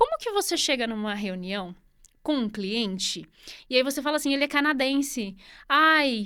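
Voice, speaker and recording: A woman talks at a moderate pace in a high voice with very wide pitch swings. The recording is very clean, the background silent. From Brazil. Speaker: business English mentor. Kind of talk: interview.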